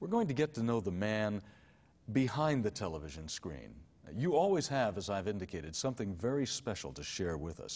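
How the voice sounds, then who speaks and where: Here is a man with a fairly low pitch and an American accent. He moves at a fairly quick pace with very wide pitch swings. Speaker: TV show host. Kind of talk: television interview. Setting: studio.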